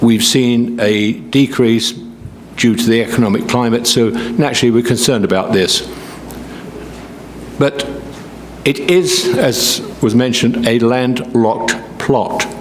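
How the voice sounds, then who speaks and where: Medium-pitched man's voice, fairly slow with long, frequent pauses, ordinary pitch variation and very even loudness, amid audible room echo and noticeable background noise. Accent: British. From Britain. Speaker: local resident speaking at public hearing. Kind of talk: public comment.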